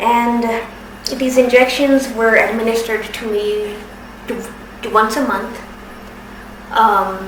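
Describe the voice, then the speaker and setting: The recording carries audible room echo and noticeable background noise. A woman speaks in a fairly high pitch with fairly even intonation. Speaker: patient sharing medical experience. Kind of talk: personal testimony. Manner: halting.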